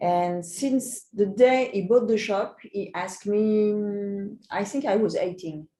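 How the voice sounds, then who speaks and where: In a French accent, a woman speaks with a dark, mellow tone and lively intonation. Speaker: magician. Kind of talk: interview.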